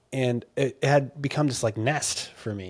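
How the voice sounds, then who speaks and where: A man talks at a moderate pace with an American accent. His pitch varies in an ordinary way. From Southern California. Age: 20s. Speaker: missionary and surfer, author. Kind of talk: casual interview with faith testimony.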